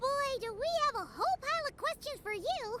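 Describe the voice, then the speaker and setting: A put-on character voice, squeaky and at an extremely high pitch, runs at a fairly quick pace. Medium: video game. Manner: excitable.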